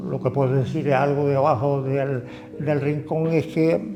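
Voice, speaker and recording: With music in the background, a man speaks at a fairly high pitch and ordinary pitch variation. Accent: Canarian. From Canary Islands, Tenerife (La Orotava). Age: 70s. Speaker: community activist. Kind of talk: interview answer.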